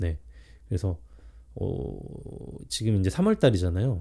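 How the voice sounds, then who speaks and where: A man speaks in a dark, mellow tone that is somewhat breathy. The recording is very clean, with a silent background. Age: 40s. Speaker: vlogger. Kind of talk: self-interview monologue. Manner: halting, with many fillers.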